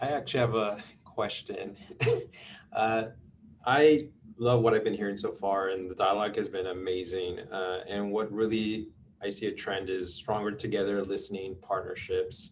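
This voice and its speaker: In an American accent, a man with an unremarkable speaking voice talks at a moderate pace in a fairly low pitch. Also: fairly even intonation. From US West Coast, Los Angeles (San Fernando Valley). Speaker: public agency community outreach moderator. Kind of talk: video call panel Q&A.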